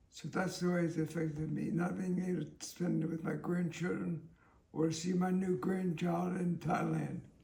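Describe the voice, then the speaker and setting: Over audible room echo, a man talks at a moderate pace in a high pitch with monotone, flat intonation. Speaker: interviewee living with a terminal illness. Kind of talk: interview. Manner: slurred, impaired speech; halting.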